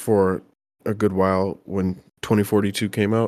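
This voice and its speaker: In a very clean recording with a silent background, a man with an ordinary speaking voice and a fairly low pitch talks at a moderate pace. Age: 20s. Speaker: gamer guest. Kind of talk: casual chat.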